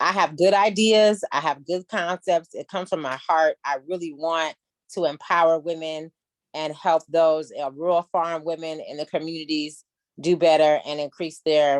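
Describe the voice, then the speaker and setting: In a normal speaking voice, a woman with an American accent talks at a moderate pace, her pitch fairly low and her intonation fairly even, in a dry, close sound with no echo. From US South. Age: 40s. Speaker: business consultant. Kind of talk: mentoring talk.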